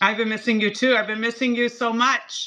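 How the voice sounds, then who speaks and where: This woman's voice is high and animated. Its tone is bright and sharp. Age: 60s. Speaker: cosmetic chemist and skincare brand founder. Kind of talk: TV shopping presentation.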